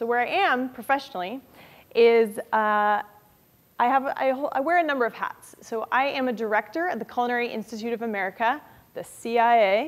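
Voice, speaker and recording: A woman speaks with a high pitch. Her pitch variation is ordinary. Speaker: author; guest. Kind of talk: lecture. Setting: stage with audience. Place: classroom.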